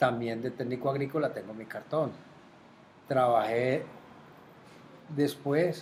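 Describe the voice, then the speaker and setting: At a very slow pace with long, frequent pauses, a man speaks with fairly even intonation. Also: medium pitch for a man. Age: 70s. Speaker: retired water utility administrator. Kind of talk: interview. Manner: halting, with repetitions.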